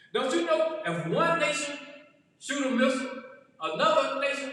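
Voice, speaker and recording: An extremely high-pitched man over background music. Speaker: pastor. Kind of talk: sermon.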